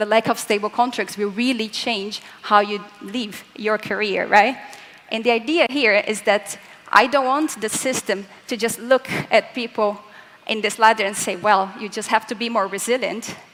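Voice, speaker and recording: A woman with a fairly high pitch speaks at a moderate pace in fairly even intonation, with noticeable background noise. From Latin America. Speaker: physicist. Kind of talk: conference talk.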